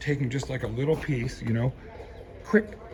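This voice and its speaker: A quiet man speaks at a fairly quick pace in an animated tone with ordinary pitch variation. Noticeable background noise runs behind him. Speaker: reverend sharing his garden. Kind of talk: casual vlog walkthrough. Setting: outdoors, around his building. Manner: quiet, talking low; casual, animated.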